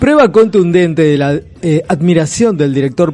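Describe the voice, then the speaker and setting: With noticeable background noise behind him, a man speaks at a fairly slow pace in a high pitch with lively intonation. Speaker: radio host. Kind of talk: casual radio chat with read-out segments.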